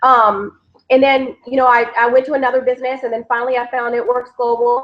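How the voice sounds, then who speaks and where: Her pitch high, a woman speaks at a fairly quick pace. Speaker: network marketing team leader. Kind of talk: webinar presentation. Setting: Google Hangout webcast. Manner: animated.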